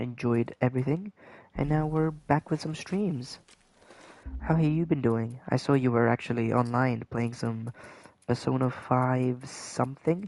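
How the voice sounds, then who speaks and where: Soft-spoken and fairly slow, a man talks at a medium pitch with ordinary pitch variation. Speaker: gaming streamer. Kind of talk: live gameplay stream chat. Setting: livestream at home late at night. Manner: softly spoken, keeping voice down.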